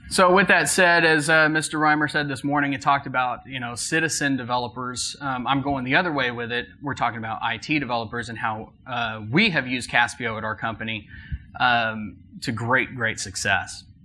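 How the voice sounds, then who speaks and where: Amid noticeable background noise and audible room echo, a man speaks fairly quickly with an American accent at a medium pitch and ordinary pitch variation. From Texas. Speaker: IT applications manager. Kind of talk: conference talk.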